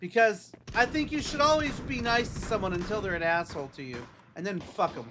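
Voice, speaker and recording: A man with a raised, projected, high voice talks at a fairly quick pace, with very wide pitch swings and big swings in loudness. Noticeable background noise runs underneath. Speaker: video game streamer. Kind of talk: casual gaming livestream chat.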